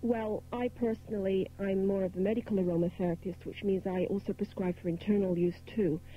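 Music plays behind a woman speaking in a dry recording with no echo. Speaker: guest. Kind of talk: interview answer. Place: studio.

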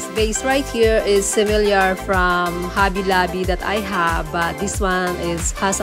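A woman talks at a fairly slow pace with clear music playing in the background. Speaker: home decor vlogger. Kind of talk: casual vlog chat. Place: shop. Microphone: phone near.

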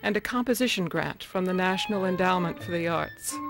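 A woman talks fairly quickly while music plays behind her. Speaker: interviewer. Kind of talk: documentary narration.

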